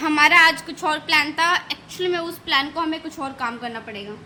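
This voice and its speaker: A woman's raised, projected voice sits at a high pitch and moves with ordinary pitch variation against noticeable background noise. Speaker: vlogger. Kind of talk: casual vlog chat. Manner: animated.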